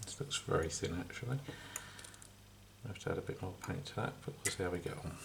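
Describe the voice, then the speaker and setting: A man mumbles in a put-on character voice at a fairly low pitch, talking very fast but breaking off with long, frequent pauses. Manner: mumbling.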